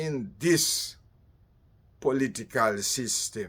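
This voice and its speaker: In a Jamaican accent, a man talks at a very slow pace. His pitch is medium, with ordinary pitch variation. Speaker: political commentator. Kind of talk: political monologue.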